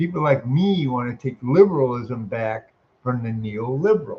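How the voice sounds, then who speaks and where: A man with lively intonation speaks at a fairly slow pace in a somewhat breathy voice. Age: 60s. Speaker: military veteran making a response video. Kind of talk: casual political monologue. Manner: animated; repetitive, halting restarts.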